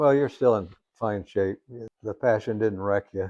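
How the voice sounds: Here is a man with a dark, mellow tone and fairly low pitch. He goes at a fairly slow pace with ordinary pitch variation.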